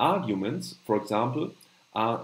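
Speaking at a moderate pace, a man with a German accent sounds somewhat breathy, with audible room echo. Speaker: channel host, note-taking educator. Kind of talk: live stream tutorial with chat Q&A. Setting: live stream with screen share. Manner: halting, many fillers.

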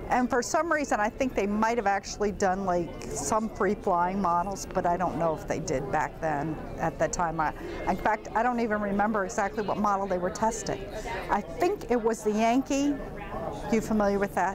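Music sits in the background. The delivery keeps a moderate pace. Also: woman. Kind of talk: interview answer. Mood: cheerful, amused. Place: studio. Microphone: lapel.

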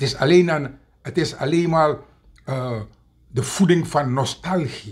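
Against a quiet background, a man with a fairly high pitch talks very slowly, leaving long, frequent pauses, with ordinary pitch variation. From Suriname. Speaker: political commentator. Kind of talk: video monologue. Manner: animated; hesitant, many fillers. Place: home room. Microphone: webcam.

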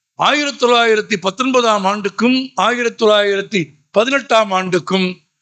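This man's raised, projected voice sits high in pitch, with a bright, sharp tone and ordinary pitch variation. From Tamil Nadu, Madurai. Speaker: public speaker. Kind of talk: public speech. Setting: stage with audience.

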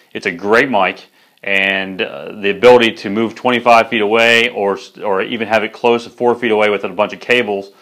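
A man talks at a fairly quick pace with fairly even intonation. The background is quiet. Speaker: product reviewer. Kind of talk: product review presentation. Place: studio. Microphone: lapel.

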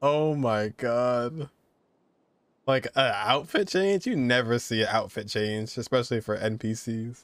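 Medium pitch from a man with a fairly bright tone and ordinary pitch variation, on a very clean recording with a silent background. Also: fairly slow pace.

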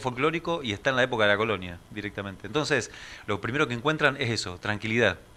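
A man speaks at a very fast pace in a medium pitch. His tone is bright and sharp, with ordinary pitch variation. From Argentina, San Nicolás, Buenos Aires province. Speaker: museum director guest. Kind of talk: radio interview. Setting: radio studio. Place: studio. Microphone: studio mic.

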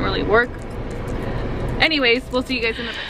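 A woman is speaking. There is noticeable background noise, and the sound is dry with no echo. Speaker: mom vlogger. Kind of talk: casual vlog chat. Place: car. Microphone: phone near.

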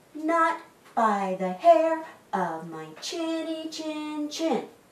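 A woman's put-on character voice at high pitch, with big pitch swings, a very slow pace and audible room echo

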